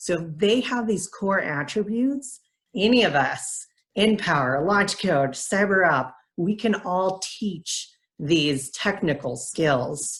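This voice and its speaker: A woman talks at a very slow pace in a medium pitch, her voice somewhat breathy. Her pitch swings very widely. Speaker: nonprofit program director. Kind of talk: presentation.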